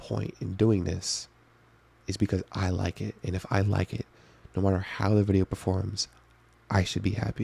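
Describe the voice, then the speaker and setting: A somewhat breathy, dark and mellow voice with fairly even intonation, dry and close with no echo, on a very clean recording with a silent background. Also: man. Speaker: youtuber. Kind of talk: video diary monologue. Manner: soft-spoken.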